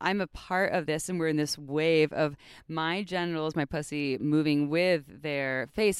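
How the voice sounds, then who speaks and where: A woman's very deep, low voice in a very clean recording with a silent background. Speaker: sex podcast host. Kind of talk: casual chat. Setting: outdoors.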